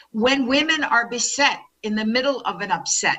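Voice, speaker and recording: A woman speaks in a New York accent with ordinary pitch variation. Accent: New York American. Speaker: keynote speaker, business consultant. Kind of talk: keynote speech.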